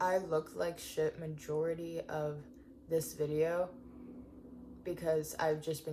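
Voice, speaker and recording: A soft-spoken woman at a fairly low pitch and a fairly slow pace. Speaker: van life vlogger. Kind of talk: personal vlog confession. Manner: halting.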